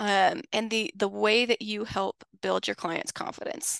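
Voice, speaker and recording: The speaker has a plain, everyday voice at a moderate pace. The sound is dry and close with no echo, against a quiet background. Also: woman. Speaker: podcast host. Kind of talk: casual interview chat.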